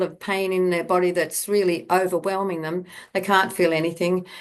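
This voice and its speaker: Over a quiet background, a woman with an Australian accent talks at a fairly quick pace. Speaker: bodywork therapist and teacher. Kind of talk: online talk to a summit audience. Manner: halting, many fillers and repeats.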